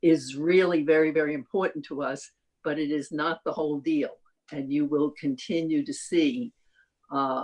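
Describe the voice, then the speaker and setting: A woman with an American accent speaks in a very deep, low voice, her pitch rising and falling in an ordinary way. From New York. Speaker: nonprofit agency representative. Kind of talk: public meeting statement.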